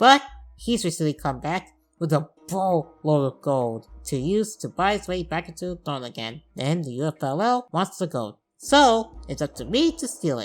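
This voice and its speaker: A woman speaks in a very deep, low pitch. Her pitch swings very widely, and her loudness swings a lot too. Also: moderate pace. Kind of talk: comedic game review narration. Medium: machinima. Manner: wry, sarcastic.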